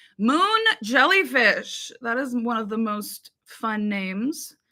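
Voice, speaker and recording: Animated and bright, sharp in tone, a woman speaks with a fairly high pitch. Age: 20s. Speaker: music reaction youtuber. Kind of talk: casual livestream chat. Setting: livestream.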